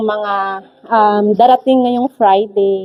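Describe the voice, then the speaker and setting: Fairly slow speech from a woman amid noticeable background noise. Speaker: livestream host. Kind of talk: casual live stream chat. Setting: live stream.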